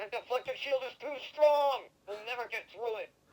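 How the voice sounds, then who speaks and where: Whiny and fairly high in pitch, this is a put-on character voice. The pace is moderate. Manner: whining, complaining.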